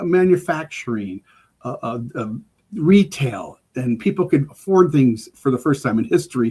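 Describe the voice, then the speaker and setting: In an American accent, a man with a fairly high pitch, a dark, mellow tone and a somewhat breathy voice swings his pitch very widely. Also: moderate pace. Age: 60s. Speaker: emergency preparedness expert. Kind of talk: casual chat. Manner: halting, many repeated words.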